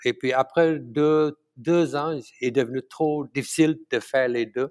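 Speaking at a fairly slow pace, a man is heard in dry, close sound with no echo. The recording is very clean, with a silent background. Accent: Tamil. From Malaysia. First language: Tamil (speaking French). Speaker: chef. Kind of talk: interview. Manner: halting.

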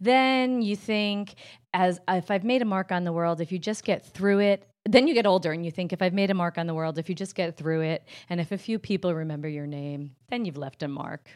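A woman speaks at medium pitch in a New Jersey accent, at a fairly quick pace. Her pitch varies in an ordinary way, and the recording is very clean with a silent background. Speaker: comedian. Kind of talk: casual chat.

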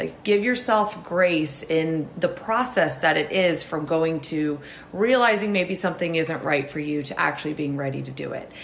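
A woman with lively intonation speaks at a moderate pace while noticeable background noise carries on. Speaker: podcast host. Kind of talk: casual interview chat.

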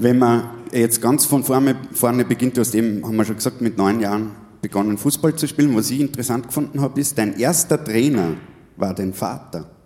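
The man has an ordinary speaking voice. His pitch is medium, with ordinary pitch variation, at a fairly quick pace. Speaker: podcast host and musician. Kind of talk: live stage interview. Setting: stage with audience.

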